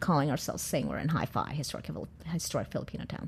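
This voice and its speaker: A somewhat breathy woman speaking very fast in an American accent. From California. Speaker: chef and restaurant owner. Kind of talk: interview. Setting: studio.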